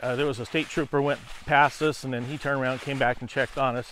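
A man talking at a fairly quick pace, dry with no echo, over light background noise. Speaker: landowner vlogger. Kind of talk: casual vlog chat. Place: forest. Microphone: lapel.

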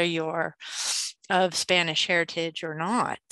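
A woman speaks at a fairly low pitch with a bright, sharp tone. The sound is dry with no echo, over a quiet background. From New Mexico. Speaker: school faculty member. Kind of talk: casual discussion. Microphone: video call.

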